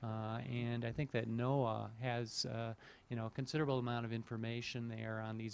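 The delivery comes at a very fast pace with monotone, flat intonation over light background noise. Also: man. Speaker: audience questioner, climate scientist; questioner. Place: hall.

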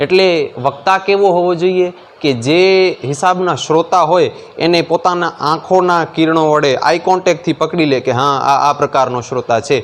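A man's high voice, with ordinary pitch variation, comes through noticeable background noise. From Kutch, Gujarat (Mandvi taluka). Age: 20s. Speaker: young religious storyteller (kathakar). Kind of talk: interview.

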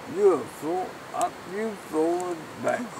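A man mumbles at a fairly slow pace. Noticeable background noise is present. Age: old. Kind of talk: casual talk around a campfire. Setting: outdoors. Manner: drunk, mumbling, rambling. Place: open country.

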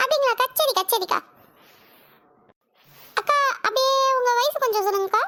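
Using a cartoonish character voice at an extremely high pitch, a woman speaks at a moderate pace with ordinary pitch variation. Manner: polite, respectful.

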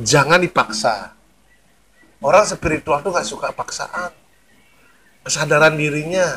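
Pausing long and often, a man speaks at a fairly slow pace with a bright, sharp tone, fairly high pitch and lively intonation. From Bali, Indonesia. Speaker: spiritual figure, former tattoo artist. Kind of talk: interview about spirituality.

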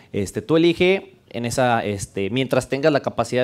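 Ordinary pitch variation shapes the man's speech. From Mexico, León; Mexico. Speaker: developer advocate; conference speaker. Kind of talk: conference talk. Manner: casual, joking. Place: classroom. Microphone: headset.

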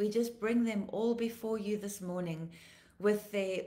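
Her intonation monotone and flat, a woman talks at a moderate pace. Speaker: pastor. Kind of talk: live devotional broadcast. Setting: livestream video. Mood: earnest, solemn, compassionate. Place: home room. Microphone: phone near.

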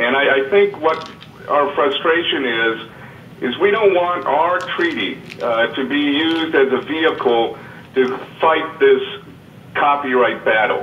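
Talking at a fairly slow pace, a man leaves long, frequent pauses and uses ordinary pitch variation. Light background noise and audible room echo are present. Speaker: lawyer advocate for blind people. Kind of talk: meeting statement. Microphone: phone line.

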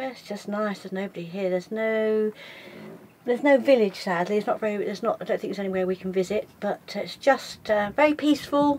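A woman speaks at a fairly quick pace, her tone slightly mellow and her pitch varying in an ordinary way.

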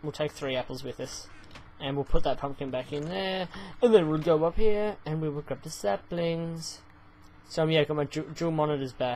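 A man with an Australian accent, fairly high pitch and moderate pace, over light background noise. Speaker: gaming YouTuber; gaming youtuber. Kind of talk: let's play commentary. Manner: animated. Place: home room.

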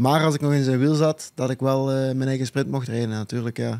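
Against a quiet background, a man with a fairly high pitch and a dark, mellow tone talks at a fairly quick pace in a monotone, flat intonation. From Belgium. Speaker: professional cyclist; guest. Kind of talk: casual chat. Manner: halting, many uh fillers. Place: studio. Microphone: studio mic.

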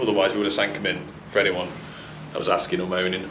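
Noticeable background noise behind a man's speech. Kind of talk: casual vlog chat. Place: garage. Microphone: phone near.

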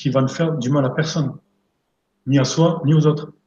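The intonation stays fairly even. Audible room echo is present. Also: man. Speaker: energy therapist and coach; coach. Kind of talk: live interview, talking about therapy. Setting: live online stream. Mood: calm, earnest. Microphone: video call.

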